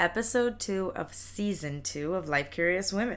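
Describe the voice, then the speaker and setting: A woman with an unremarkable speaking voice at medium pitch, ordinary pitch variation and a fairly slow pace, in a very clean recording with a silent background. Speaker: podcast host. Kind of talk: interview with scripted intro and ad read.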